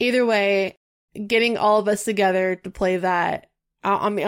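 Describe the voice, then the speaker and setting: Heard in a very clean recording with a silent background, this is a normal speaking voice with fairly even intonation. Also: woman. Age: 30s. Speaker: gaming podcast guest. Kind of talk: casual chat.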